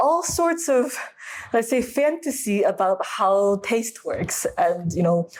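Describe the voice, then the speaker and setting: A woman with an American accent at a fairly slow pace, very wide pitch swings, and noticeable background noise. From USA. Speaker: food scientist, wine expert. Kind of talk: interview answer. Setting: low-quality recording.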